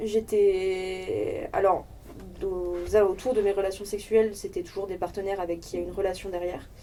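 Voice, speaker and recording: A woman's dark, mellow voice at a medium pitch, flat and monotone, with big swings in loudness, at a moderate pace. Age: 20s. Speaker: sex education project member. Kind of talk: casual discussion.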